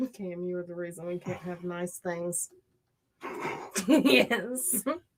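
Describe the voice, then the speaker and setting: In a Southern US accent, a woman with a fairly low pitch speaks at a very slow pace, with ordinary pitch variation and big swings in loudness. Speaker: true crime channel co-host. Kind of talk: casual livestream chat.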